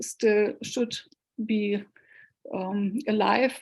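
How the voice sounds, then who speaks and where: A woman with a German accent speaks at a very slow pace in a fairly high, somewhat breathy voice with fairly even intonation. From northern Germany, Hanover. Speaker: cellist and researcher. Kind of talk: Q&A at online talk. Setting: video call. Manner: halting.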